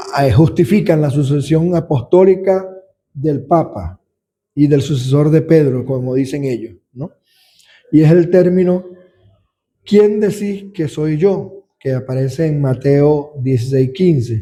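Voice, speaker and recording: The voice moves at a very slow pace with ordinary pitch variation. Its tone is dark and mellow, and somewhat breathy. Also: man, fairly high pitch for a man. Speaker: deacon teaching a Bible study. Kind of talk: Bible study lecture.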